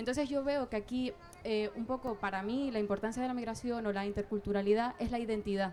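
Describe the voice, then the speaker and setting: A woman with a Canarian accent, fairly high-pitched, fairly even in intonation, at a very fast pace. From southern Tenerife, Canary Islands. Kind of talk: public debate contribution. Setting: outdoor public square, sunny. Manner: halting, many fillers.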